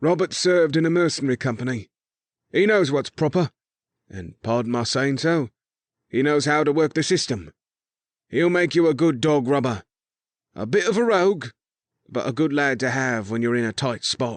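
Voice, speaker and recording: A man's raspy, put-on character voice, fairly high in pitch, with lively intonation, a moderate pace and long, frequent pauses, in a dry, close sound with no echo. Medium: read story. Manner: plain-spoken, military.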